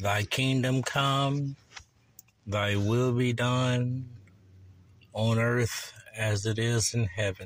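The speech moves at a very slow pace, with fairly even intonation and very even loudness. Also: man, medium pitch for a man. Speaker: preacher. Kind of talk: fervent prayer. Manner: solemn, earnest; declamatory, preacherly.

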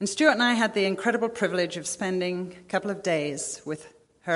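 Here an unforced reading voice moves with ordinary pitch variation.

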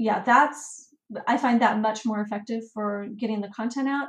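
At a fairly slow pace, a woman speaks somewhat breathy, with fairly even intonation and a fairly high pitch. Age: 40s. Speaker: travel and family blogger. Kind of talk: interview.

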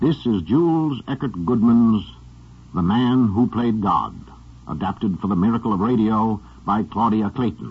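This man's voice is somewhat breathy. His pitch is fairly low. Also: lively intonation, moderate pace. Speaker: radio drama host and narrator. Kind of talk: scripted radio narration and host intro. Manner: formal, polished, resonant, rather grand.

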